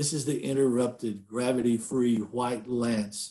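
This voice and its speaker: Behind the man, the background stays quiet. He talks at a fairly slow pace. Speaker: poet. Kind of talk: poetry reading. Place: home room. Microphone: webcam.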